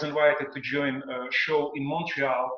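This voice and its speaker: A man with a strong non-native accent speaks at a moderate pace, with audible room echo. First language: not English. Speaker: singer and stage performer. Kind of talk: panel discussion. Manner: halting.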